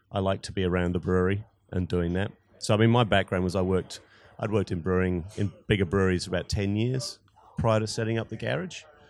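Talking at a very fast pace, a man with a New Zealand accent uses a fairly low pitch. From New Zealand (Wellington, Christchurch). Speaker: brewery co-founder and brewer. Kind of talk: interview.

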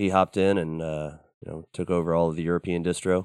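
Racing at a very fast pace, a man speaks in a very deep, low pitch with monotone, flat intonation. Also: quiet background. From Southern Ohio, US. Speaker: metal band singer and bassist. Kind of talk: casual interview chat. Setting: studio.

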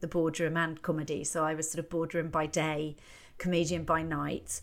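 An ordinary speaking voice from a woman at a fairly low pitch and fairly quick pace, on a very clean recording with a silent background. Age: 50s. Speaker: comedian. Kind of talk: casual chat.

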